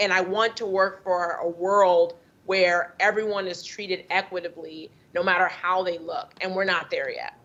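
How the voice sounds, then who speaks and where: A woman with an American accent speaks at a medium pitch and a moderate pace, her intonation monotone and flat. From United States. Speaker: doctor and anti-racism advocate. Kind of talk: panel discussion.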